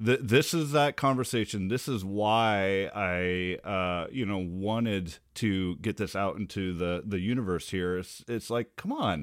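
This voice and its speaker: Speaking in a normal speaking voice with an American accent, this person moves at a fairly slow pace with hardly any pauses and ordinary pitch variation. The recording is very clean, with a silent background. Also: man, fairly low pitch for a man. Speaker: podcast host. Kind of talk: casual conversation.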